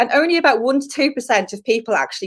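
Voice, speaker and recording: The speaker talks at a very fast pace with a Dublin accent. The tone is animated and the intonation lively. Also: woman. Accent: Irish, Dublin. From Ireland, Dublin. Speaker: LinkedIn trainer. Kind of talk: live stream Q&A. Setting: live video stream.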